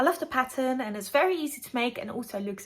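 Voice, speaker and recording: A woman speaks with a non-native accent and lively intonation. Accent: non-native English accent, noticeable. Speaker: crafting and true crime YouTuber. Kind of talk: casual vlog tutorial.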